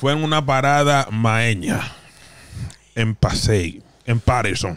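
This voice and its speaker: The intonation is lively. The sound is dry, with no echo. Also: man. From Dominican Republic. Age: 30s. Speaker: podcast host. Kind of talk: casual chat. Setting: studio. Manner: animated. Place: studio. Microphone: studio mic.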